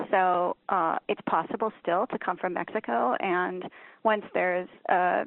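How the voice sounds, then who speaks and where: This woman has an ordinary speaking voice at a medium pitch. Her intonation is fairly even. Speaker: author. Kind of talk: interview.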